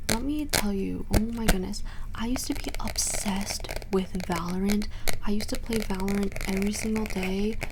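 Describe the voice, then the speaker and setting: Noticeable background noise beneath a woman's medium pitch and ordinary pitch variation. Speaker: ASMR creator; college student. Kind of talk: ASMR Q&A talking to camera while tapping triggers. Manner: chatty, friendly.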